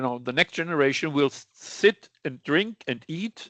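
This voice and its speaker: Speaking with a German accent at a moderate pace, a man's fairly high voice comes through a dry, close sound with no echo against a quiet background. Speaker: sales director presenting on lab chemicals. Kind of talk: webinar presentation. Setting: online webinar. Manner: halting, with false starts.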